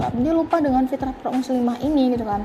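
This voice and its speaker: A woman talks at a very fast pace in a high voice. Noticeable background noise runs through the clip. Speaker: podcast speaker. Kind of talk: casual talk on self-improvement. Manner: casual, filler-heavy.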